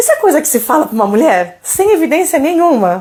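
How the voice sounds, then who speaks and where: A woman's animated voice with very wide pitch swings at a moderate pace. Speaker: doula. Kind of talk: live Q&A stream.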